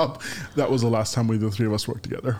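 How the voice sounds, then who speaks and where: A loud male voice. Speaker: podcast co-host. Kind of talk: casual chat. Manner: halting, repeats words.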